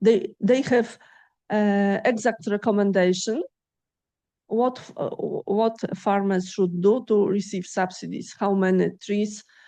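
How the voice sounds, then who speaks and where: Over a quiet background, a woman with a Polish accent speaks at a fairly slow pace in a dark, mellow, medium-pitched voice, with fairly even intonation, long, frequent pauses and big swings in loudness. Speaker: agrophysics researcher and lecturer. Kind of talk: lecture Q&A. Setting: lecture hall with audience. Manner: halting.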